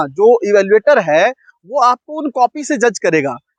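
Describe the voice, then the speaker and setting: The speaker is a man. His pitch is extremely high. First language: Punjabi (speaking Hindi). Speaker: UPSC coaching teacher. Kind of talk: lecture. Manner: conversational, explanatory.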